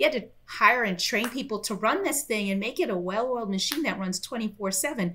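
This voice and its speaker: With an American accent, a woman talks at a fairly quick pace with lively intonation and hardly any pauses over light background noise. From Florida, US. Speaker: software company director. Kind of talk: interview and product demo. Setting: remote call. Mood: warm, animated. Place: home room.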